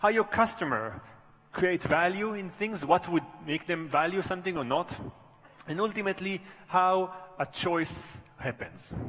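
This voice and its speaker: With noticeable background noise, a man of high pitch speaks at a moderate pace with ordinary pitch variation and long, frequent pauses. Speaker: professor. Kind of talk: conference talk.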